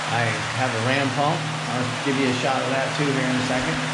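A man talks with music in the background. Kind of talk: casual vlog chat. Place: tunnel cave. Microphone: phone near.

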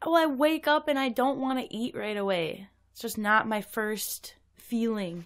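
A woman with an unremarkable speaking voice talks at a moderate pace, her pitch fairly high. Her intonation is lively, and her loudness swings widely. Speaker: guest co-host. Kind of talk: casual banter.

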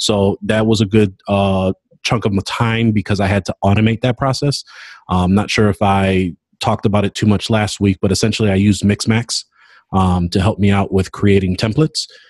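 A man uses an ordinary speaking voice, fairly low in pitch, at a fairly quick pace with fairly even intonation and very even loudness. The sound is dry with no echo, over a quiet background. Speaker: podcast co-host. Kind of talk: casual update chat. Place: office. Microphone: webcam.

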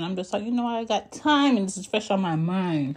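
A woman's animated voice at a moderate pace. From Philadelphia, US. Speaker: podcaster. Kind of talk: casual monologue.

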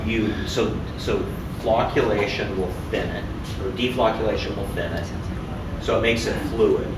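Loud background noise and audible room echo accompany a man speaking. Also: moderate pace. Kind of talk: explanation to group. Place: workshop.

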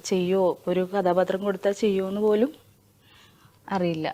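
A woman speaks in a dark, mellow tone. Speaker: film actress. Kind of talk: interview.

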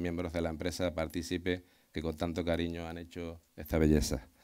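A man with a Canarian accent speaks in a very deep, low voice, flat and monotone, against a quiet background. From Canary Islands (Tenerife, San Juan de la Rambla). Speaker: mayor. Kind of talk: ceremonial speech. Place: open country. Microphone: podium.

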